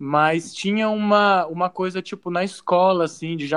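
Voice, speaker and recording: Dry and close with no echo, a plain, everyday voice moves at a moderate pace with ordinary pitch variation. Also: man. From São Paulo, Brazil. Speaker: advertising professional. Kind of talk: casual interview.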